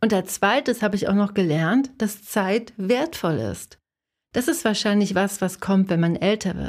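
On a very clean recording with a silent background, a woman talks at a medium pitch in an unremarkable speaking voice. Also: ordinary pitch variation, fairly slow pace. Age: 40s. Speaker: podcast host and designer/illustrator coaching creatives. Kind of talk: solo podcast monologue.

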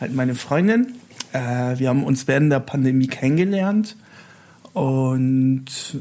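Man with a slight Italian accent, fairly high-pitched and fairly slow, with ordinary pitch variation. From Italy. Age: 40s. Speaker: festival decoration artist. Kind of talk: casual interview. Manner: halting.

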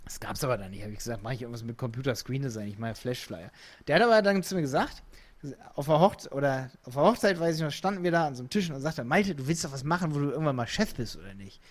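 A man talks at a very fast pace and fairly high pitch. His pitch swings very widely and his loudness shifts greatly. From Lower Saxony, Hildesheim. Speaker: entrepreneur, digital agency founder. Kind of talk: casual interview chat. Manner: animated.

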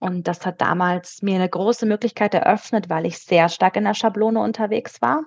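Dry and close with no echo, a woman's medium-pitched voice carries vocal fry, ordinary pitch variation and a moderate pace. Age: 30s. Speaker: business culture consultant. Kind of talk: interview.

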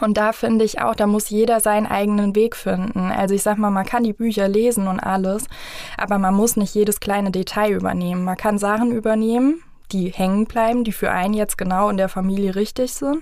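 Loudness stays very even while the intonation remains fairly even. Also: woman, medium pitch for a woman, fairly quick pace. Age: 30s. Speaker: family coach. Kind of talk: interview.

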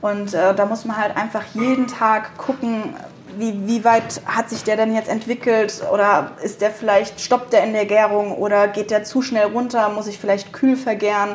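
The speaker holds a monotone, flat intonation at a moderate pace against noticeable background noise. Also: woman, fairly high pitch for a woman. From Rheingau, Germany. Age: 20s. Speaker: young winemaker. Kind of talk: interview. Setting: at the winery.

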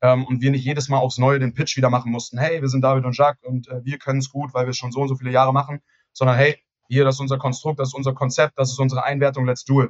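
Very fast and in a flat monotone, a man speaks at a medium pitch with a somewhat breathy sound. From Hamburg, northern Germany. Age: 20s. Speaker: real estate agent and company founder. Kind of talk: podcast interview.

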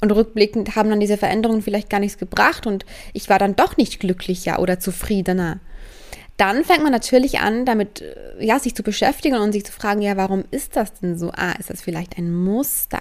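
This woman has a plain, everyday voice at a medium pitch with ordinary pitch variation. She talks at a fairly quick pace. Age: 20s. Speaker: spiritual coach podcaster. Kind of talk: solo podcast monologue.

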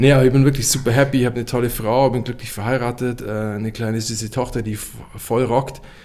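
Noticeable background noise sits under this very fast talker. He is a man of medium pitch with monotone, flat intonation. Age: 30s. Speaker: company managing director. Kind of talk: podcast interview.

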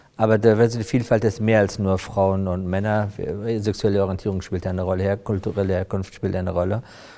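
The tone is dark and mellow. It belongs to a man. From Afghanistan, came to Germany as young refugee. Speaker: corporate HR director. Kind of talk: podcast interview.

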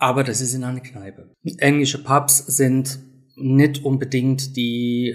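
This man's voice sits at a medium pitch, and his intonation is fairly even. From Great Britain. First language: English (speaking German). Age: 50s. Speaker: self-help group leader. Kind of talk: interview.

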